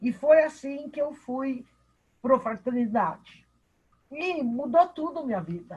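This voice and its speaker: A woman is speaking. Her pace is fairly slow. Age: 60s. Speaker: participant in spiritist study class. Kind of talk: personal testimony in online class.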